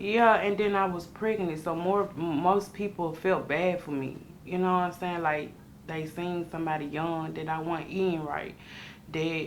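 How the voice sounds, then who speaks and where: Audible room echo surrounds a woman's voice. Her pitch is fairly low and her intonation fairly even. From US South, Memphis, Tennessee. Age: 20s. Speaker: formerly homeless young mother. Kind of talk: interview testimony. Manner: halting, many fillers.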